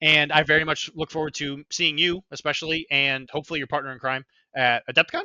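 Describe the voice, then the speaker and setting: A man talks very fast and loud at a fairly high pitch, with a bright, sharp tone, monotone, flat intonation and dry, close sound with no echo. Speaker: podcast host. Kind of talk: casual chat.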